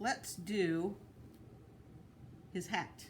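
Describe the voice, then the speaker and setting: A soft-spoken woman is heard over noticeable background noise, with audible room echo. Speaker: art teacher. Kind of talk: tutorial. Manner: casual.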